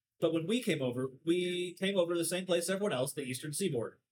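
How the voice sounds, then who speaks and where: His speech moves at a moderate speed, with ordinary pitch variation. The man has an unremarkable speaking voice. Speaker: podcast host, theologically knowledgeable. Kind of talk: casual chat over beers.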